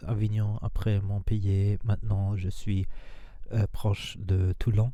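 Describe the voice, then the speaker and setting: A man with a non-native accent speaks in a dark, mellow tone at a fairly low pitch, with monotone, flat intonation. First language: not French (speaking French). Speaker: spiritual and manifestation coach. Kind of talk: casual vlog monologue. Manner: halting, many hesitations.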